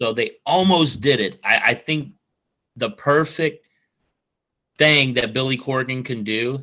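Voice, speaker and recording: In a St. Louis accent, a man with a medium pitch talks at a fairly slow pace in an animated tone with ordinary pitch variation. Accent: Midwestern US (St. Louis). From St. Louis, Missouri. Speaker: wrestling podcast host. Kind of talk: casual interview chat.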